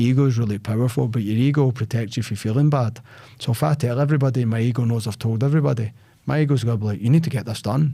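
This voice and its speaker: A man's very fast speech with a Scottish accent, dark and mellow in tone, medium in pitch with ordinary variation, on a very clean recording with a silent background. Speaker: sales podcast host. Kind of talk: casual chat. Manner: loud; animated.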